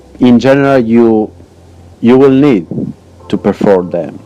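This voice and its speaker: A man with a non-native accent at a very slow pace, medium pitch and ordinary pitch variation, with music in the background. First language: not English. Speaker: gaming youtuber. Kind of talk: game tutorial narration. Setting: poor home microphone.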